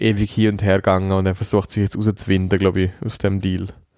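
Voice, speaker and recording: A man with a Swiss accent speaks very fast at a fairly low pitch. His intonation stays monotone and flat. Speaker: podcast co-host. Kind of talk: casual chat.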